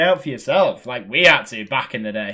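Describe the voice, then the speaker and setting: Speaking very fast with a British accent, the voice carries vocal fry. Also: man. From Britain. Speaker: gaming streamer. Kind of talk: casual chat.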